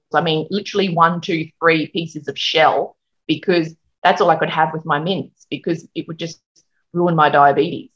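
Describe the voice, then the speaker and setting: A woman talks at a fairly slow pace with a fairly low pitch. Her tone is bright and sharp, and the background is quiet. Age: 40s. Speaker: hairdresser and working mum; interview guest. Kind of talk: interview, casual chat. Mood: open, candid, conversational. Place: home room. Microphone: video call.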